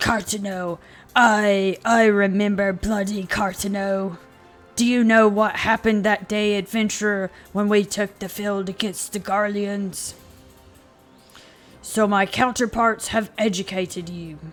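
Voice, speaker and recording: A gruff, put-on character voice speaks at a fairly slow pace in a fairly high pitch, flat and monotone. Faint music plays in the background. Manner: angry, gruff.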